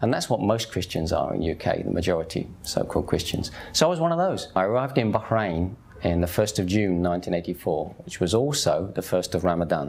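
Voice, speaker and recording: In an English accent, a man with a very deep, low pitch talks at a fairly quick pace with ordinary pitch variation. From England. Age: 50s. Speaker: convert telling his story. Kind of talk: testimony. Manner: animated.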